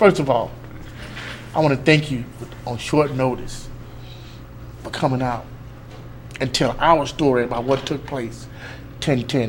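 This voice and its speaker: A man speaks at a medium pitch with long, frequent pauses, amid audible room echo and noticeable background noise. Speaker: live stream host. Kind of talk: casual chat. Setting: live stream. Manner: fast; animated.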